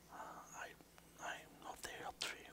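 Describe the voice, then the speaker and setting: The man keeps his speech to a whisper. He goes at a moderate pace. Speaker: vlogger. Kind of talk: casual vlog chat. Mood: calm, soft, relaxed. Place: home room. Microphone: headset.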